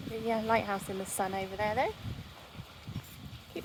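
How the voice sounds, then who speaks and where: Noticeable background noise sits under a quiet woman speaking at a fairly quick pace with a fairly high pitch. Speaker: vlogger. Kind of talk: casual walking vlog. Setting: outdoors by the sea.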